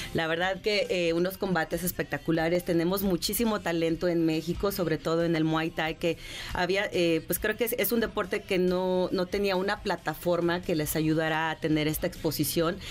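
In a Mexican accent, a woman speaks at a moderate pace with hardly any pauses, a fairly low pitch, fairly even intonation and very even loudness. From Mexico, León, Guanajuato. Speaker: jiu-jitsu champion and event presenter. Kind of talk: radio interview. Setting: radio studio.

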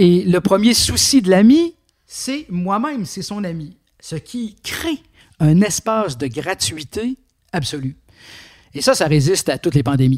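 In a dry, close recording with no echo, a high-pitched man talks at a fairly slow pace, with very wide pitch swings, big swings in loudness and long, frequent pauses. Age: 60s. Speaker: philosopher and philosophy teacher. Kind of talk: interview. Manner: halting, with frequent fillers.

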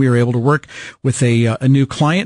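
The sound is dry and close, with no echo. A man with an American accent speaks in a passionate, somewhat breathy tone. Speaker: radio host. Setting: radio studio broadcast. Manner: emphatic, earnest, plain-spoken, persuasive, with repeated words and fillers; passionate, direct, salesmanlike.

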